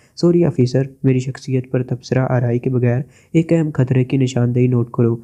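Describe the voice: This is plain reading aloud. Nothing more is heard than the reading.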